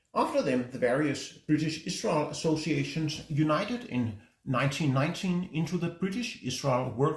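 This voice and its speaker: With a Danish accent, a man talks at a moderate pace in a somewhat breathy, fairly high voice, his intonation lively. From Denmark. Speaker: book reviewer. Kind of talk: book review talk.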